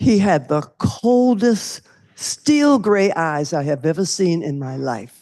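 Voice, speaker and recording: In a Charleston accent, a woman speaks in a dark, mellow tone with very wide pitch swings against a quiet background. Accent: Southern US (Charleston, South Carolina). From US South. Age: 80s+. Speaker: civil rights activist. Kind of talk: panel discussion.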